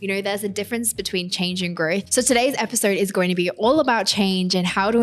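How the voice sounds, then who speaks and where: Speaking at a very fast pace, a woman with an Australian accent uses a medium-pitched voice. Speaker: podcast host and influencer. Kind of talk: solo podcast monologue. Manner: casual, conversational.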